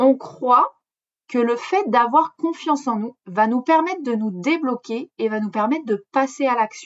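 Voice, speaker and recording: A woman speaks in a high pitch at a fairly slow pace. Her intonation is lively. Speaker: riding coach, podcast host. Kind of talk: solo podcast monologue. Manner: hesitant with fillers.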